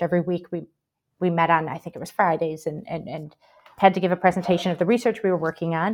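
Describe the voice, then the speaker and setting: With a Midwestern accent, a woman speaks at a medium pitch in a very clean recording with a silent background. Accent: American Midwest. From Michigan, US. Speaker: historian, professor, book editor. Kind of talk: interview answers.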